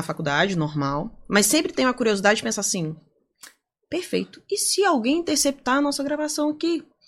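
With vocal fry and very wide pitch swings, a woman talks at a fairly quick pace in a very clean recording with a silent background. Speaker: data privacy lawyer and lecturer. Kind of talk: podcast interview.

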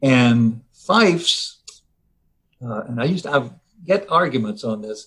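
A man with an American accent at medium pitch, fairly slow and full of long, frequent pauses, his pitch swinging very widely. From Virginia. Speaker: music arranger, retired engineer. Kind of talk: interview.

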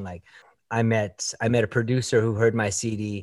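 A man with a Canadian accent, a plain, everyday voice, medium pitch and a moderate pace. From Canada, Toronto. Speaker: songwriter and producer. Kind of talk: interview. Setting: video call.

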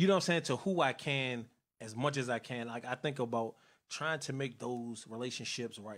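A man speaks in a normal speaking voice at medium pitch, keeping a moderate pace and ordinary pitch variation. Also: very clean recording, silent background. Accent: American. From Northern Virginia (Woodbridge area). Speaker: youth outreach organizer and internet radio host. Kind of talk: casual interview.

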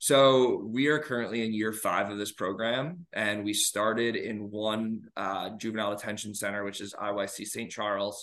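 A man with an American accent and a plain, everyday voice speaks at a fairly low pitch with fairly even intonation against a quiet background. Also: moderate pace. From New York. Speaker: physical education professor. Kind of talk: interview.

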